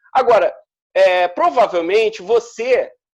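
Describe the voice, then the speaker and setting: This speaker has a Rio de Janeiro accent. The intonation is lively. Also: man. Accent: Carioca Brazilian Portuguese. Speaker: teacher. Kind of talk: interview answer.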